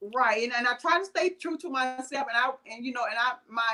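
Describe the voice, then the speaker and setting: A woman talks with a strong Southern US accent at a fairly quick pace. Her tone is bright and sharp. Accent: thick Southern US. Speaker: vegan blogger and home caterer. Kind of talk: interview. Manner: halting, many fillers.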